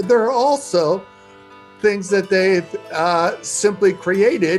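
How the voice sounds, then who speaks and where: Music plays in the background. The speech moves at a very slow pace with ordinary pitch variation. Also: man, high pitch for a man. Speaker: dialect researcher. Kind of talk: interview answer.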